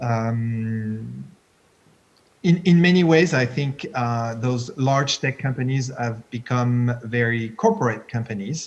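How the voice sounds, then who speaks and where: A man with a French accent speaks in a somewhat breathy voice. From France. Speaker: tech entrepreneur, CEO of an innovation park. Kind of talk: panel discussion. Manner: halting.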